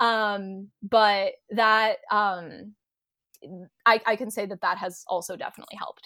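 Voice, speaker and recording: Delivery comes at a fairly slow pace with fairly even intonation. Loudness swings widely. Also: woman, fairly high pitch for a woman. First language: Polish. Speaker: linguist. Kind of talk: casual interview chat. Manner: halting, fillers.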